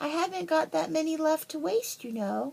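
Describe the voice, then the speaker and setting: A squeaky, put-on character voice moving at a moderate pace. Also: woman. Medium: read story.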